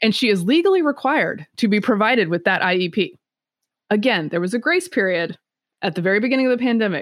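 A woman with an American accent speaks at a very fast pace, her fairly high pitch making very wide swings. Her loudness stays very even. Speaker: political commentator. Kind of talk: casual interview.

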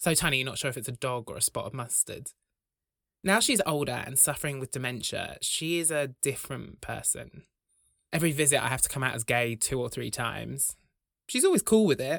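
Speaking at a fairly quick pace with a British accent, a man sounds animated in a dry, close recording with no echo. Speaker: comedian and podcast host. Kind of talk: scripted comedy monologue. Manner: animated, jokey.

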